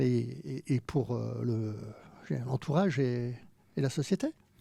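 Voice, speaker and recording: A man speaks at a fairly slow pace with a dark, mellow tone. His pitch is medium, and the sound is dry and close with no echo. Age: 60s. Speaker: senator. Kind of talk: podcast interview.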